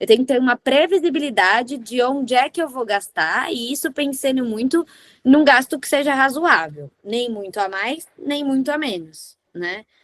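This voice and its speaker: A woman speaks in an animated tone at a high pitch, her voice swinging very widely, with a dry, close sound and no echo. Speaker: lawyer. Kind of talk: workshop talk.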